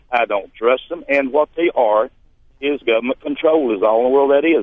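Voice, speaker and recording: At a fairly quick pace, a man with an American accent speaks in a fairly high pitch. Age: 60s. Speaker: small farmer, caller. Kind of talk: call-in radio conversation. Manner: animated.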